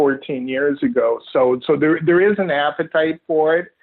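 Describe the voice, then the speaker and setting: A man with a Canadian accent has a normal speaking voice, pitched fairly high, with ordinary pitch variation at a moderate pace. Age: 60s. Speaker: author, sports writer. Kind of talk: interview.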